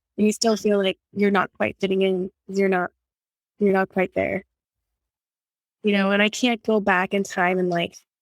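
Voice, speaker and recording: Flat, monotone speech in an American accent at a moderate pace, with long, frequent pauses, on a very clean recording with a silent background. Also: woman, medium pitch for a woman. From California and Texas, French household. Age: 30s. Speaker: entertainment executive and entrepreneur. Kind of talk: casual interview chat.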